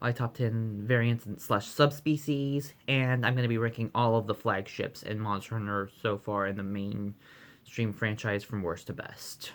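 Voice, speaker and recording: This man's voice sits at a medium pitch with fairly even intonation, and he barely pauses at all. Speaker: gaming vlogger. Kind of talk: casual vlog. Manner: fast; hesitant, with fillers.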